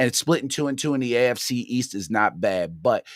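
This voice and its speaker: This man has a Baltimore accent and talks at a fairly quick pace. His intonation is lively, and the sound is dry and close with no echo. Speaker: sports podcast host. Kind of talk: casual livestream rant. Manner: conversational, hesitant with fillers.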